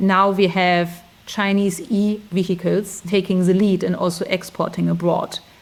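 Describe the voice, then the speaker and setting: A woman with a German accent speaks in a monotone, with flat intonation. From Germany. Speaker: recruiter, expat interviewee. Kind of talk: interview. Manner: halting, many fillers.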